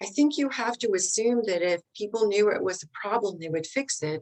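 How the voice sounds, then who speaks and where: A woman speaks with a Southern US accent. Her pace is moderate. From US South. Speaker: leadership expert. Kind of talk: interview.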